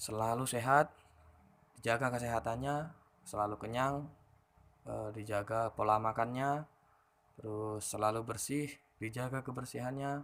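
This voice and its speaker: The speech moves at a moderate pace with fairly even intonation and long, frequent pauses. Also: man, medium pitch for a man. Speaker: teacher and vlogger. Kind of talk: casual monologue answering viewer questions.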